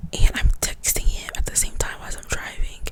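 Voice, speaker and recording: A woman whispers at a moderate pace while noticeable background noise carries on. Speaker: nursing student. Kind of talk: ASMR whispered casual talk to camera. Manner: whispered.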